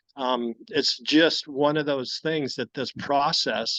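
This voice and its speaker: A man's fairly high-pitched voice at a very slow pace, dry and close with no echo, over a quiet background. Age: 60s. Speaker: cancer patient sharing testimony. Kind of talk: testimony.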